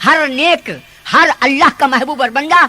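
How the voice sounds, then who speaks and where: A man with a Hyderabadi accent talks in a raised, projected voice. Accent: Telangana (Hyderabadi Deccani) Urdu. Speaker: Islamic preacher. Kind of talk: religious sermon. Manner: impassioned, exhorting.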